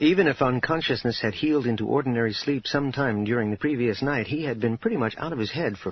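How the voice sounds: Simply a natural reading voice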